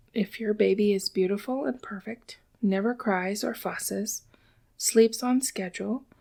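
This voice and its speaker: Soft-spoken and relaxed, a woman talks at a fairly slow pace with a medium pitch, ordinary pitch variation and a dark, mellow tone. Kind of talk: ASMR soft-spoken book reading. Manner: soft-spoken, relaxed.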